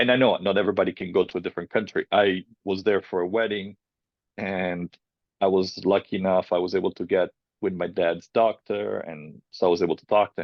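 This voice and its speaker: A man's very deep, low voice with a slight Italian accent, fairly even intonation and big swings in loudness. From Italy. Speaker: filmmaker, cancer survivor. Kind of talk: personal testimony interview. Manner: casual, halting.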